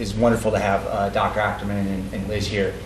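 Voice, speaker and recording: Audible room echo follows a man's voice. Noticeable background noise is also present. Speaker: sperm bank representative at an educational seminar. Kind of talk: seminar talk to an audience. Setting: event with live audience. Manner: fast; hesitant, many fillers and repeats.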